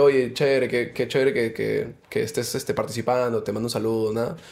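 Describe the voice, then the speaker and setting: A man's dark, mellow tone. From Peru. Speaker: musician and DJ; guest. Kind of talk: casual interview. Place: studio. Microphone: studio mic.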